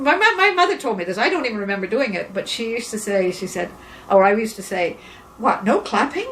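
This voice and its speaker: Over noticeable background noise, a woman with a fairly high pitch talks at a fairly quick pace with lively intonation. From England, then Montreal. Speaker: artist and singer. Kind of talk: interview. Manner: halting.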